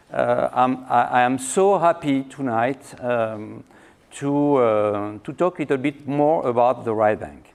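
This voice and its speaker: Speaking at a fairly slow pace, a man with a French accent has a medium pitch and ordinary pitch variation. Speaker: winery owner. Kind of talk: lecture. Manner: halting, many fillers and repetitions.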